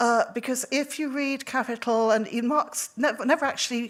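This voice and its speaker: Her voice is high-pitched, with lively intonation and a fairly quick pace. The woman is recorded very cleanly against a silent background. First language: Welsh. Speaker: researcher. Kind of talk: lecture. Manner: halting.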